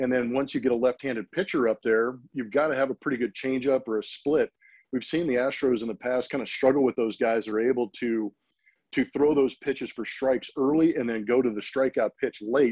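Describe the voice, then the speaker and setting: In a normal speaking voice, a man talks at a fairly quick pace with medium pitch and fairly even intonation, the sound dry and close with no echo over a quiet background. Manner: conversational, thoughtful, analytical.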